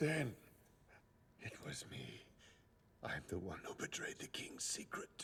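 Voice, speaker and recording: A man's put-on character voice, whispered and raspy, at a fairly slow pace with long, frequent pauses over clear background noise. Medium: fan dub.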